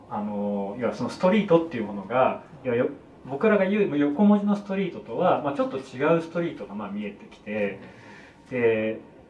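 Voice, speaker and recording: A man's fairly high voice at a fairly quick clip, with very wide pitch swings, big jumps in loudness, audible room echo and noticeable background noise. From Kanto, Japan. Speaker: film director. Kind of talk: casual chat.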